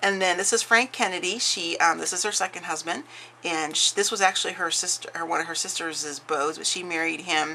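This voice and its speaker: Moving at a fairly quick pace, a woman talks with a fairly low pitch and ordinary pitch variation. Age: 40s. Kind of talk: casual craft flip-through talk to camera.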